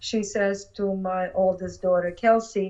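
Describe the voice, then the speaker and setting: A woman's medium-pitched voice in a monotone, flat intonation. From Ukraine. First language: Russian or Ukrainian. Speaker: attorney. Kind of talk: interview.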